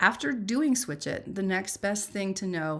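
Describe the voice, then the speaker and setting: A woman with vocal fry and an animated tone speaks at a moderate pace, her medium pitch showing ordinary pitch variation. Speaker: reading teacher. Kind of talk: live webinar teaching.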